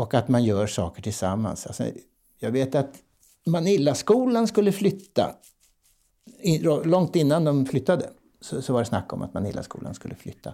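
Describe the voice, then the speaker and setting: A man's fairly high voice with a dark, mellow tone and vocal fry, very wide pitch swings, a moderate pace, and long, frequent pauses. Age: 70s. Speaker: professional clown and play advocate. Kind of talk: interview conversation. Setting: bakery, home recording.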